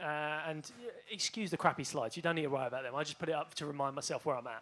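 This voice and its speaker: Speaking at a very fast pace in a British accent, a man has a bright, sharp tone, a fairly high pitch and ordinary pitch variation. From Britain. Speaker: bitcoin researcher. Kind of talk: panel talk with slides.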